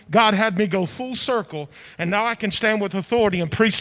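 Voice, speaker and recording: Raising and projecting his high voice, a man speaks at a fairly quick pace with lively intonation and a passionate tone over noticeable background noise. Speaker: church prayer leader. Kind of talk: fervent congregational prayer. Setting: church with congregation. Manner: loud, passionate, commanding.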